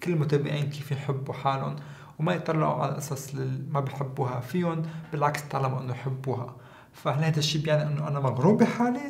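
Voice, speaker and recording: Fairly high-pitched, a man speaks at a moderate pace with ordinary pitch variation. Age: 30s. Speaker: skincare content creator. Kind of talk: casual vlog talk to camera. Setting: at home. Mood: playful, amused. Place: studio.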